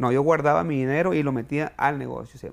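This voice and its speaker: With a normal speaking voice, this man moves at a fairly quick pace, his pitch fairly high and its variation ordinary. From Mexico, Sinaloa (Culiacán area). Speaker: chef and restaurant owner. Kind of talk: interview. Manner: repeats words when speaking.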